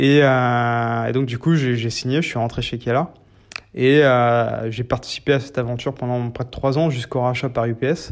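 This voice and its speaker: The background is quiet as a man speaks at a medium pitch. He goes at a fairly slow pace with fairly even intonation. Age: 30s. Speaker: startup founder. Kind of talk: interview. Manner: halting, many fillers.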